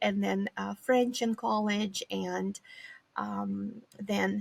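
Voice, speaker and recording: The speaker has a Romanian accent and talks at a very slow pace. The sound is dry and close with no echo. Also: woman. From Eastern Europe, former Soviet republic (Moldova). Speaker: psychology professor. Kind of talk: interview conversation.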